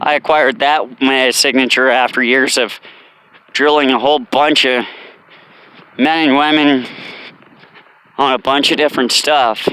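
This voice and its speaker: Against noticeable background noise, a man with a medium pitch keeps his loudness very even and pauses long and often. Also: fairly even intonation, moderate pace. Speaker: vlogger, former military drill instructor. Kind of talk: casual vlog monologue while walking. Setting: outdoors on a walk. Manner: casual, rambling with fillers.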